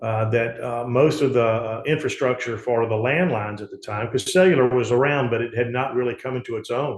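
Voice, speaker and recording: A man talks fairly quickly at a medium pitch, his voice somewhat breathy. His pitch varies in an ordinary way. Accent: Southern US. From US South, Mississippi Gulf Coast. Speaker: politician and insurance agent. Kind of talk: interview. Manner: halting, many fillers.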